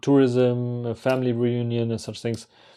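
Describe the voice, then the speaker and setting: With a German accent, a man speaks at a medium pitch in a dark, mellow tone against a quiet background. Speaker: travel vlogger. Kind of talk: casual monologue. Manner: halting.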